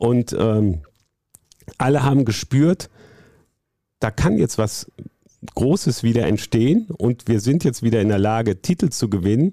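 With a dark, mellow tone and lively intonation, a man at medium pitch keeps his loudness very even and takes long, frequent pauses, in a dry, close sound with no echo. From Rhineland, Bonn. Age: 60s. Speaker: sports journalist. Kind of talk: storytelling interview. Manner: hesitant fillers (ähm).

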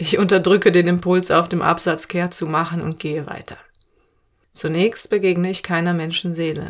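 Her voice fairly low and her intonation monotone and flat, a woman is heard in a very clean recording with a silent background. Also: moderate pace. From Cologne, Germany. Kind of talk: scripted narration. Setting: outdoors.

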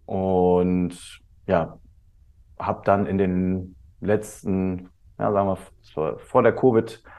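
This is a man speaking. His pitch is fairly low. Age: 30s. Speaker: teacher and coach. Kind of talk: casual chat.

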